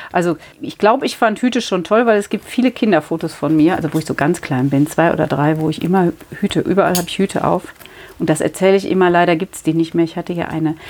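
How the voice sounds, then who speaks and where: A woman with a plain, everyday voice speaks at a fairly low pitch with lively intonation. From Rhineland, Germany. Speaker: milliner, hat shop owner. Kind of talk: interview. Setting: in her hat shop.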